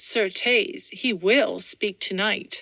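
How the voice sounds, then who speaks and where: A woman puts on a character voice. It sits fairly high in pitch. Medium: read story. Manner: sly.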